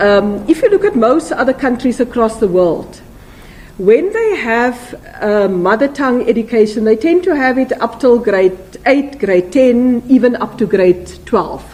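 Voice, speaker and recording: A woman with a South African accent speaks at a high pitch and a fairly slow pace, with lively intonation. Noticeable background noise is present. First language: Afrikaans. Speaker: politician. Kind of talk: press conference. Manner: hesitant, many fillers and repetitions.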